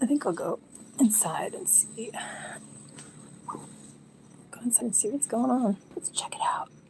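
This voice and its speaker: A woman speaks quietly at a fairly slow pace, with long, frequent pauses. Noticeable background noise runs underneath. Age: 40s. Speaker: live streamer. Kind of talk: casual chat.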